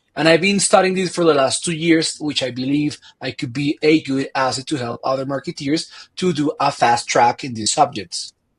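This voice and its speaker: Somewhat breathy and fairly high-pitched, a man's voice comes through dry and close with no echo. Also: ordinary pitch variation, moderate pace. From Colombia. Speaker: marketing consultant. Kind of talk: podcast interview.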